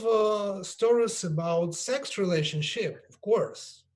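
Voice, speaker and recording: The speech has lively intonation and a fairly slow pace. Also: man. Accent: Russian. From Russia. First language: Russian. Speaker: yoga teacher. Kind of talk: panel discussion. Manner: halting.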